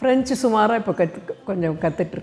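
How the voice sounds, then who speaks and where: Faint music sits in the background. A woman speaks at a fairly high pitch. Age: 80s+. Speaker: retired multi-talented grandmother, writer; interviewee. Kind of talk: interview testimony. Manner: halting.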